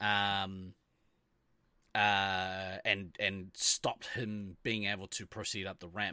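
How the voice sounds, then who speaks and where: A man with a New Zealand accent, fairly low in pitch, with a bright, sharp tone and monotone, flat intonation, at a very slow pace, in a very clean recording with a silent background. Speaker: podcast host. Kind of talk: casual chat.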